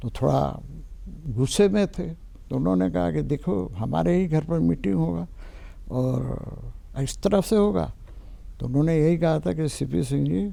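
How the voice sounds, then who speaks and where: Long, frequent pauses break up a man's medium-pitched voice, which has a dark, mellow tone and very wide pitch swings. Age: 60s. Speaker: politician. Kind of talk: interview.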